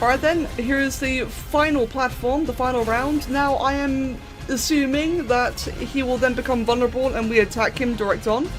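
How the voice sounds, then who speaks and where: With music in the background and audible room echo, a woman speaks in a high voice with hardly any pauses. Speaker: gaming youtuber. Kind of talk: gameplay commentary. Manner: animated; fast.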